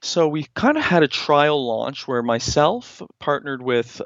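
At a moderate pace, the speaker has a plain, everyday voice with ordinary pitch variation. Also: man. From Canada, Nova Scotia (Halifax). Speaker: entrepreneur. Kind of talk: interview.

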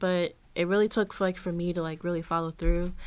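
With fairly even intonation and a medium pitch, a woman uses a normal speaking voice in a very clean recording with a silent background. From Richmond, Virginia. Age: 20s. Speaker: student fellow. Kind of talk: interview.

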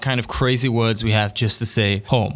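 A man speaks in an enthusiastic tone. Noticeable background noise runs beneath him. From Newcastle, northern England. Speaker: podcast host. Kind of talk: solo podcast monologue. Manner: enthusiastic, conversational.

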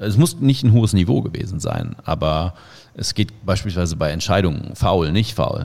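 This man talks at a moderate pace. Vocal fry runs through his voice. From Germany, Cologne. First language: Indonesian (speaking German). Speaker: football commentator. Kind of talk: casual interview. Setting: video call.

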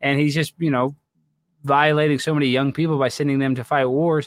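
Fairly high in pitch, a man talks at a very fast pace in an American accent. The recording is very clean with a silent background and a dry, close sound with no echo. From Texas. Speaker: comedian and political commentator. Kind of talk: casual chat. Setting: live stream.

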